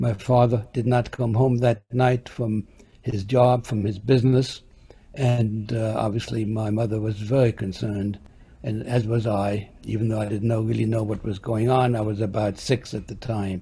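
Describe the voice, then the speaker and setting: A man's somewhat breathy voice at medium pitch and moderate pace, with monotone, flat intonation and a dark, mellow tone. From Germany (Halberstadt). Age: 80s+. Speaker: Holocaust survivor, witness of the Nazi era. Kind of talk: oral history testimony. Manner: halting.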